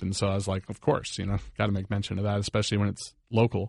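A man with a fairly low pitch and an American accent, heard over a quiet background. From Northern Virginia. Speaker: rock band member. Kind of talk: casual chat. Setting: studio.

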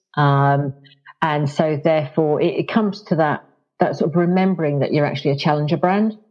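Speaking at a fairly quick pace with a southern English accent, a woman with a very deep, low pitch keeps her loudness very even and her pitch variation ordinary. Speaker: marketing executive. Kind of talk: casual interview.

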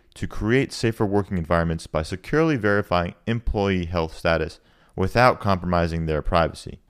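In a very clean recording with a silent background, a man with a very deep, low voice speaks at a fairly quick pace with ordinary pitch variation. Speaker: podcast host. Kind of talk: interview with scripted intro and outro.

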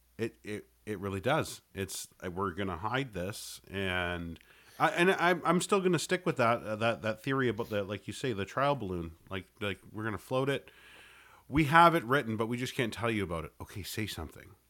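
A bright, sharp voice with a Canadian accent at a moderate pace, with very wide pitch swings, in a very clean recording with a silent background. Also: man, medium pitch for a man. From Canada. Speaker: podcaster and co-host. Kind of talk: casual chat.

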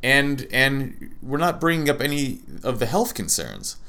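Here is a man's voice. It is pitched in the medium range. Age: 30s. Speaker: podcast host and plant-based nutritionist. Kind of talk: casual solo monologue. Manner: halting, many fillers.

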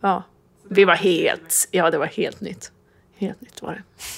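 A woman speaks at medium pitch and a moderate pace in an ordinary speaking voice. The recording is very clean, with a silent background. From Sweden, Jämtland (near Östersund). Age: 40s. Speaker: bakery owner. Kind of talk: interview. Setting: bakery.

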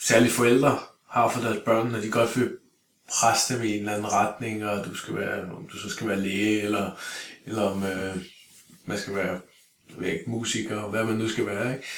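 A man of medium pitch talks at a fairly slow pace. His speech has long, frequent pauses. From Denmark, Greve (Copenhagen area). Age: 40s. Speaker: martial arts instructor. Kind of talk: casual interview. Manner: halting, many fillers and repeated words.

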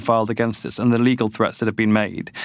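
Talking very fast, a man speaks with a British accent. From UK. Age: 40s. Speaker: nonprofit CEO. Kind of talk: interview.

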